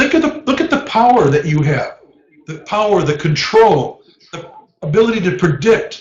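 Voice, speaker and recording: A high-pitched man at a moderate pace, with very wide pitch swings. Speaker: professor. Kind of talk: lecture. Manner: animated.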